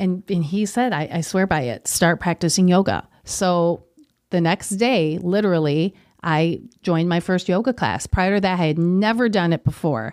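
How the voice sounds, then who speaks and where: A woman speaks at a medium pitch with lively intonation. The recording is very clean with a silent background and a dry, close sound with no echo. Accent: Upper Midwest. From Wisconsin, US (Kenosha). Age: 40s. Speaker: yoga studio owner. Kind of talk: interview.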